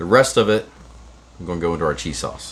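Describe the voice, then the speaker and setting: A man with a very deep, low pitch and an upbeat tone, talking at a very fast pace over noticeable background noise. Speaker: cooking show host. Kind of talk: cooking tutorial. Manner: casual, upbeat.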